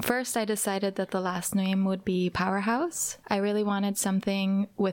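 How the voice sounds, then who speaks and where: A soft-spoken woman at medium pitch, moderate pace with hardly any pauses, fairly even intonation and very even loudness, in a very clean recording with a silent background. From Norway. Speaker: drag and stage performer. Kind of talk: interview. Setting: studio.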